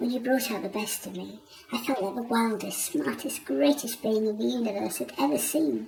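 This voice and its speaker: A put-on character voice with a fairly high pitch speaks at a moderate pace over clear background noise. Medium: read story. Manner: wry, self-deprecating.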